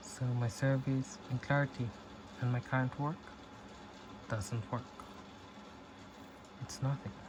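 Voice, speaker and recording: The somewhat breathy voice moves at a fairly slow pace, broken by long, frequent pauses. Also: man, medium pitch for a man, fairly even intonation. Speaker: self-help talker. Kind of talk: reflective talk. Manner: soft-spoken; halting.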